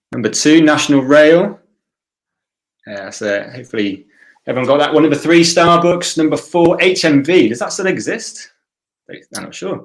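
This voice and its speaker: With lively intonation and big swings in loudness, a man speaks at a fairly high pitch and moderate pace, leaving long, frequent pauses. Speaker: quiz host. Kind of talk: live online quiz hosting. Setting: livestream. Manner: quiet. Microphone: quiet mic.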